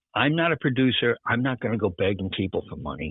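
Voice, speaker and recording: With a medium pitch, a man delivers his words at a very fast pace. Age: 70s. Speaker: filmmaker. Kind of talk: interview. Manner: halting.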